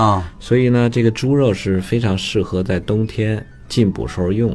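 A man speaks at a moderate pace in a fairly low voice with ordinary pitch variation, music playing in the background. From northern China (Datong, Shanxi). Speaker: traditional Chinese medicine teacher. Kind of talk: casual educational radio talk. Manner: animated, many fillers and laughs.

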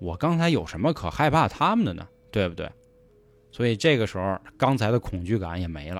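Talking at a fairly quick clip, a man with a fairly low pitch sounds animated, his voice making very wide pitch swings. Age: 30s. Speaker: podcast host and storyteller. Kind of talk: scripted storytelling narration. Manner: animated, colloquial.

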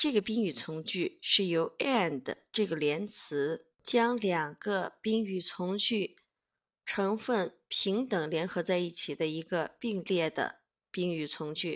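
In a very clean recording with a silent background, a woman speaks very slowly at a medium pitch, with ordinary pitch variation. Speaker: English teacher. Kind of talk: tutorial.

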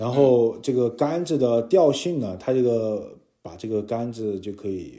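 At a medium pitch and with ordinary variation, a man speaks in a dark, mellow tone. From Chengdu, Sichuan, China. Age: 30s. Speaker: fishing enthusiast and swim coach. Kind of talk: casual interview.

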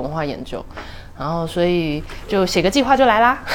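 Music plays in the background. The speaker talks at a fairly quick pace. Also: woman. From Taipei, Taiwan. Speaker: theatre director and producer. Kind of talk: casual interview chat.

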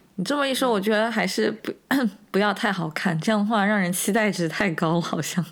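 Noticeable background noise sits behind a woman speaking at medium pitch and a fairly quick pace, her loudness very even and her pitch variation ordinary. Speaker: podcast co-host. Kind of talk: casual chat.

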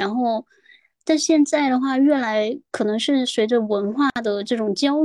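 Ordinary pitch variation from a woman speaking at a fairly slow pace. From Guangdong. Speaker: podcast guest. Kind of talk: casual chat. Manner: halting, many fillers.

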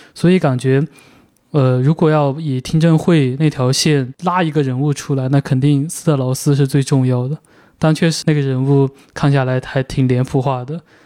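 A man's plain, everyday voice, fairly high in pitch, at a moderate pace with fairly even intonation and a dry, close sound with no echo. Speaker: podcast host, film magazine editor. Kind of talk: casual film discussion.

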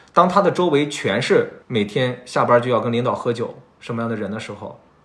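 Very fast speech from a man at medium pitch, with lively intonation. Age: 30s. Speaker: podcast host. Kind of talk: casual chat. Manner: talkative.

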